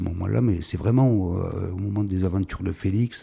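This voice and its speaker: This man's voice has a very deep, low pitch. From southern France, Var, Provence. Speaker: filmmaker. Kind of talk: interview monologue. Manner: halting, many repetitions and hesitations.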